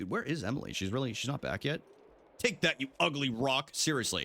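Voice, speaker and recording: A man talks at a very fast pace with vocal fry and a bright, sharp tone. The recording is very clean, with a silent background. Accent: American. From New England (Boston area). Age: 30s. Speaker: video game streamer. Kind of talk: casual livestream chat while gaming. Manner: animated.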